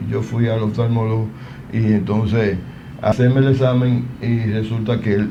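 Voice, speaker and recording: With noticeable background noise and audible room echo, a man speaks in a monotone, flat way at a moderate pace. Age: 60s. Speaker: TV health show host. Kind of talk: live TV talk show.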